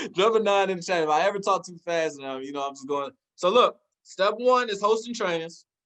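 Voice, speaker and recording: A man speaks at a high pitch and a fairly quick pace in an animated tone. His intonation is lively, with big swings in loudness. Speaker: network marketing forex mentor. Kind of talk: online training presentation. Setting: livestream with chat. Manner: fast.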